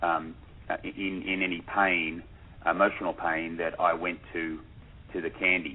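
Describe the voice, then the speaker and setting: In an Australian accent, a man with a very deep, low pitch speaks at a fairly slow pace in a flat monotone, leaving long, frequent pauses. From Australia, Sydney. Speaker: documentary filmmaker. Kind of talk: radio interview. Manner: hesitant, many repetitions.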